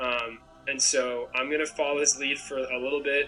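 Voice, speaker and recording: A man speaks with an American accent over music playing in the background. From Maine, US (Portland). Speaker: student contestant. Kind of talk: interview. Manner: hesitant, many fillers.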